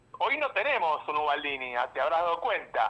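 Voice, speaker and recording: A man's voice with a bright, sharp tone. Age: 60s. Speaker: journalist. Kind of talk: radio interview.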